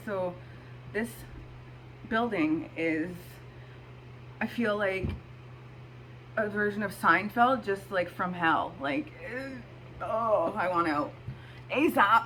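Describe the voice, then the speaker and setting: Speaking at a very slow pace with long, frequent pauses, a woman has a medium pitch and vocal fry. Her tone is bright and sharp, and her intonation is lively. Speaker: astrology video host. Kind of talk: casual talk to camera.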